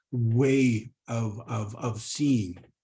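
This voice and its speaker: A dark, mellow tone comes through in this somewhat breathy voice. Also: man. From northern Canada, Cree community. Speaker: Cree language educator. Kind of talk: professional development presentation. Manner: hesitant with fillers and repetitions.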